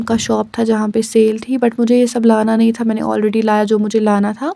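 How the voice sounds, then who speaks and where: Her voice has a dark, mellow tone and a fairly high pitch. The woman keeps a moderate pace. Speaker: vlogger. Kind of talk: vlog voice-over narration. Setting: recorded voice-over. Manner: casual, code-switching with English.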